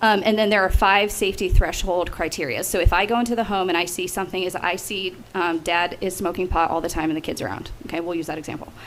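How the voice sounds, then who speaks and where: Over noticeable background noise, a woman with a medium pitch talks at a fairly quick pace. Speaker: state agency director. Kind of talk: committee testimony. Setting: legislative committee hearing. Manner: fast.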